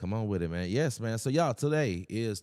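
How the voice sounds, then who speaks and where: A man speaks with a Louisiana accent in a very clean recording with a silent background. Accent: Southern US, Louisiana. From Louisiana, Shreveport. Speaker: talk show host. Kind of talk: casual interview chat. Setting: studio. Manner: animated.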